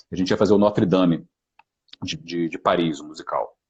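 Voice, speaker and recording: A man's very deep, low voice with ordinary pitch variation and a fairly quick pace, music playing behind him. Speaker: actor and voice actor. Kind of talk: live stream talk. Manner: halting.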